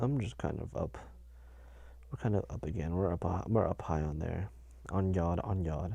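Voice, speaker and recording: At a moderate pace, a man talks with a very deep, low pitch, a dark, mellow tone and ordinary pitch variation. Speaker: podcast host. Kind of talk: casual solo chat. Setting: in bed under a blanket, home sound booth. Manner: halting, many fillers.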